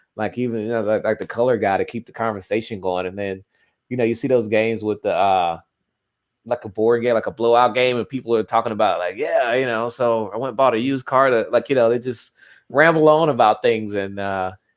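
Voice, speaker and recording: Speaking at a fairly quick pace in a Southern US accent, a man uses a medium pitch with fairly even intonation. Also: quiet background. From US South. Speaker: sports fan co-commentator. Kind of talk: casual chat. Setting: live stream watchalong.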